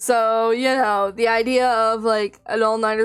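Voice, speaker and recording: A woman's fairly high voice stays flat and monotone. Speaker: vtuber streamer. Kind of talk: casual live stream chat. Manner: loud; exclaims a lot.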